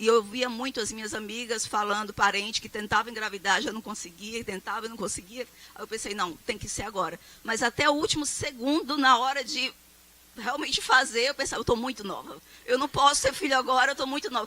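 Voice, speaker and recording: Speaking at a fairly quick pace in a plain, everyday voice, a woman with a fairly high pitch and ordinary pitch variation shows big swings in loudness. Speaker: professor. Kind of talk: lecture. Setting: stage with audience.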